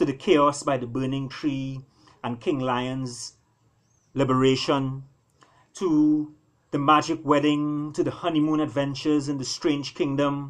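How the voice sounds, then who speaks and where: A man with a normal speaking voice, fairly high in pitch, at a moderate pace against a quiet background. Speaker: author. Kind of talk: storybook reading.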